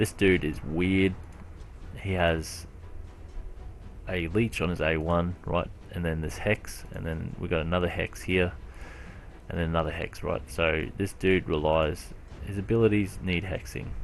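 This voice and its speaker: Over music in the background, a man with a very deep, low pitch speaks at a fairly slow pace with long, frequent pauses and ordinary pitch variation. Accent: Australian. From Australia, Brisbane. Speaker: gaming youtuber. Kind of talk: casual gameplay commentary. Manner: hesitant, many fillers. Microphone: poor recording quality.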